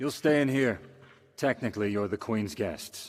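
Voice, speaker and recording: A man in a cartoonish character voice, medium in pitch, with lively intonation and a moderate pace. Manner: curt, formal.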